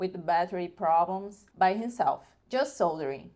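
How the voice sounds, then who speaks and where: This woman speaks with a Brazilian Portuguese accent. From northern Brazil. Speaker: video creator. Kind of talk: product review. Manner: halting.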